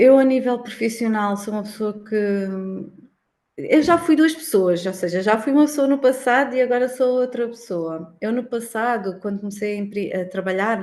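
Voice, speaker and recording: Using a normal speaking voice, a woman at a moderate pace shows lively intonation with a fairly high pitch. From Algarve, Portugal. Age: 30s. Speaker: accountant. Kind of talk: casual interview.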